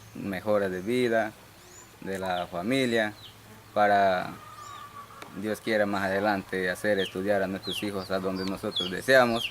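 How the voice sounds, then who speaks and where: Over noticeable background noise, a man with a fairly low pitch speaks at a fairly slow pace in a monotone, flat delivery broken by long, frequent pauses. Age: 20s. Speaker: farmer. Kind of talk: interview.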